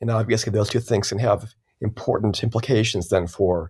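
Speaking at a moderate pace, a man uses fairly even intonation and a fairly low pitch. His voice is somewhat breathy. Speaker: author and language researcher. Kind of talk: interview.

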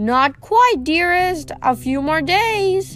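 Over clear background music, a woman talks very slowly in a put-on character voice pitched extremely high. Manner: falsetto.

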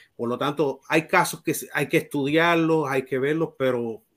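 A man speaks with a Puerto Rican accent. His pitch is fairly high, with ordinary pitch variation. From Puerto Rico, Mayagüez. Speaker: baseball writer and Hall of Fame voter. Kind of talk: panel discussion.

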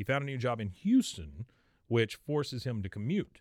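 On a very clean recording with a silent background, a man with an American accent speaks at a medium pitch. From Texas. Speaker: podcast host. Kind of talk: casual chat. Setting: video studio.

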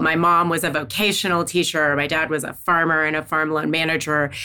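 At a fairly quick pace, a woman speaks in a fairly low pitch over noticeable background noise. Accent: American. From US South, Missouri Bootheel / northeast Arkansas. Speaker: defense research policy expert, former defense official. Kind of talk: podcast interview. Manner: animated.

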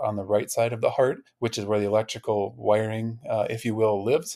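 An ordinary speaking voice from a man, medium in pitch, with fairly even intonation at a fairly quick pace. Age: 40s. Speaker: heart transplant recipient, physical therapist. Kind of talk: interview conversation.

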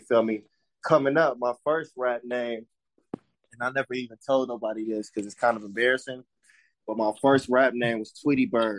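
With an American accent, a man speaks at medium pitch and a moderate pace, his loudness swinging widely in a dry, close sound with no echo. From Las Vegas, Nevada. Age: 30s. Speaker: hip hop artist. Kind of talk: casual interview chat.

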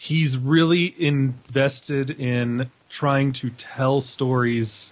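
A man with an American accent. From Northern Virginia, US. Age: 30s. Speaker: film critic and podcaster. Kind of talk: casual chat. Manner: animated.

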